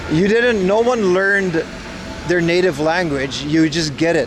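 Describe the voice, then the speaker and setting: Over noticeable background noise and audible room echo, a man talks in an animated tone at a fairly slow pace with ordinary pitch variation. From Aruba. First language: Papiamento and Dutch. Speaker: livestreamer. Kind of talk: casual chat reading live chat. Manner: loud.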